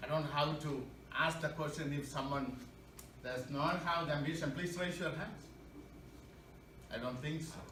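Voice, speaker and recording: Amid noticeable background noise and audible room echo, a man speaks at a moderate pace in a fairly high pitch, his intonation fairly even and his pauses long and frequent. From India. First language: not English (English his second language). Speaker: public speaking club member. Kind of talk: prepared speech. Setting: club meeting with audience.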